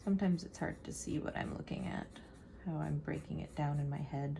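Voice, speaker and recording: A woman's soothing, relaxed tone at a moderate pace, with music in the background. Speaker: artist, art vlogger. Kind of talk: casual talk to camera, real-time art study narration. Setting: home, with pencil scratching and house sounds. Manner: soothing, relaxed rambling.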